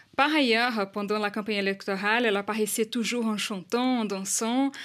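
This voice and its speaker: A woman speaks with a Portuguese accent at a fairly high pitch, with ordinary pitch variation. The recording is very clean, with a silent background. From Brazil. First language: Portuguese (speaking French). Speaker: journalist. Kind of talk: radio news report. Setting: studio.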